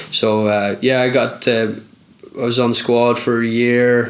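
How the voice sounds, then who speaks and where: With a Belfast accent, a man speaks at a medium pitch in a monotone, flat intonation over noticeable background noise. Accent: Belfast Northern Irish. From Northern Ireland, Belfast. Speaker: footballer. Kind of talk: interview.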